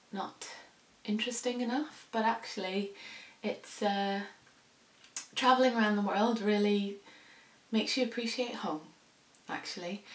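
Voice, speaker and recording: A woman with fairly high pitch and fairly even intonation, long, frequent pauses and audible room echo. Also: moderate pace. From Indonesia (international school), later Northern Ireland. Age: 30s. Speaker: sewing vlogger. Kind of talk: casual vlog talk. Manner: hesitant, many fillers.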